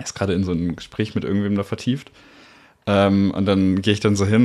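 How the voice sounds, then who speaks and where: With an unremarkable speaking voice, a man with a fairly low pitch talks at a fairly quick pace. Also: very clean recording, silent background. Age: 20s. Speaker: podcast guest, volunteer tour guide. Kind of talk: casual chat. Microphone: poor audio quality.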